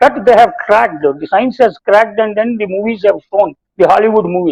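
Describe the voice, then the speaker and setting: This man has an Indian accent and a high pitch. His pitch variation is ordinary. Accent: Indian English, Telugu. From India, Telugu-speaking region. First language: Telugu. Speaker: spiritual teacher and behavioral science professor. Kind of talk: talk on scripture mixing English and Hindi. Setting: TV talk show. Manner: halting with frequent fillers.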